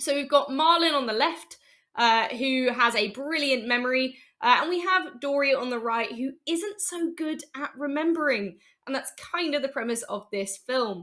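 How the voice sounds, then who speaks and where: A woman's raised, projected voice, high-pitched and bright and sharp in tone, with lively intonation and a British accent. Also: moderate pace. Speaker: software developer, conference speaker. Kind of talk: conference talk.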